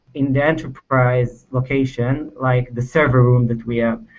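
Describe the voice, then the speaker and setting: A man with an Israeli accent. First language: Hebrew. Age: 20s. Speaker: software engineer. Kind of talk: technical presentation. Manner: halting, many fillers.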